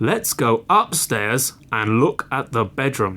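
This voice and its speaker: A man puts on a booming character voice at a medium pitch, with ordinary pitch variation. He speaks at a fairly slow pace on a very clean recording with a silent background. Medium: read story.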